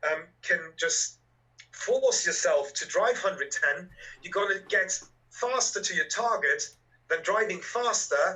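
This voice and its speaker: At a fairly slow pace, a man speaks with a slight German accent. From Germany. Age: 30s. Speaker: electric car YouTuber. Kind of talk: casual interview.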